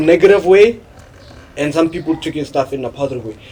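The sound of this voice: A man's slightly mellow, slightly husky voice at a moderate pace with ordinary pitch variation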